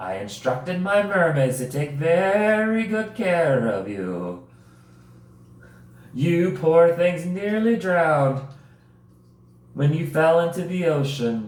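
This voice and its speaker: A man puts on a high, breathy character voice with a slight echo. He moves at a fairly slow pace, with long, frequent pauses. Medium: read story. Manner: gentle, kind.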